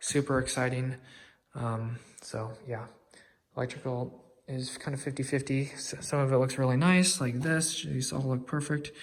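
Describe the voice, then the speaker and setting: A man's somewhat breathy voice at medium pitch, with fairly even intonation and a moderate pace. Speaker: vlogger documenting own house build. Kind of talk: casual vlog walkthrough. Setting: inside a house under construction, window open. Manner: casual with many filler ums; quiet, keeping voice down.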